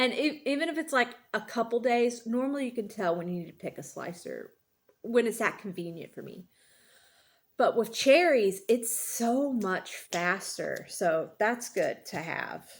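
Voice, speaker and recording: An unremarkable speaking voice goes at a fairly slow pace with big swings in loudness, in a very clean recording with a silent background. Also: woman, fairly high pitch for a woman. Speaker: gardening YouTuber. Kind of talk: casual monologue. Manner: many fillers and restarts.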